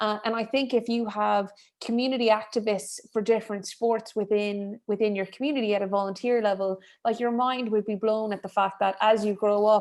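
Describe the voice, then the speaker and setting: With an Irish accent, a woman talks at a fairly high pitch and a fairly quick pace in monotone, flat intonation, in a very clean recording with a silent background. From rural Ireland. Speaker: member of the European Parliament. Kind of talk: panel discussion. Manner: halting, many fillers and repeats.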